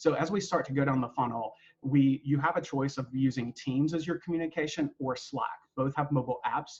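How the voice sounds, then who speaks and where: Somewhat breathy, a man with a North Carolina accent talks at a fairly quick pace. His voice is fairly high, with ordinary pitch variation. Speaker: university staff member leading a webinar. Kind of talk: webinar presentation. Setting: online webinar with screen sharing. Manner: casual, with frequent fillers.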